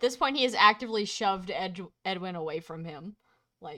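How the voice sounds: Nothing stirs in the background. Someone reads in a natural voice.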